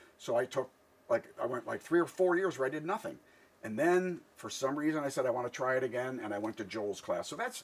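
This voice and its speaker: Over noticeable background noise, a man talks at a medium pitch and a fairly quick pace with lively intonation. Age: 60s. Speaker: stand-up comedian. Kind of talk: casual chat.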